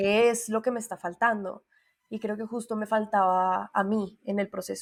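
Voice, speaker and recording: A woman in a Colombian accent, fairly high-pitched and monotone, at a moderate pace. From Colombia, Bogotá. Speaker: singer and voice coach. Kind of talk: interview conversation.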